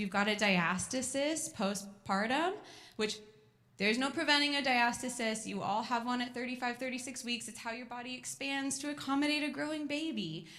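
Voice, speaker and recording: With an American accent, a woman speaks at a fairly quick pace in a high, bright, sharp voice, her tone animated and her intonation lively, with audible room echo. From California. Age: 30s. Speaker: physical therapist. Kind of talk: educational talk to a moms group. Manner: fast.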